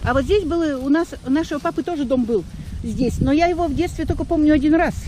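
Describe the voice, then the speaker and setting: Very fast delivery in a dry, echo-free sound. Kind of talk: casual recollection to family. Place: open country. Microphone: phone near.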